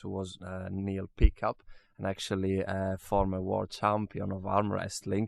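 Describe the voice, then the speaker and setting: A man with an Italian accent, fairly low in pitch, at a moderate pace in a flat monotone. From Italy, Venice. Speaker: musician and studio manager. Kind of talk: interview. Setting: recording studio. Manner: halting, many fillers.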